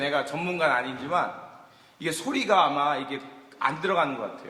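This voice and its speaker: A man speaks at a fairly quick pace. The room echo is audible, and background noise is noticeable. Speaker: guest pastor. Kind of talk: sermon. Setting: church with congregation. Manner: loud.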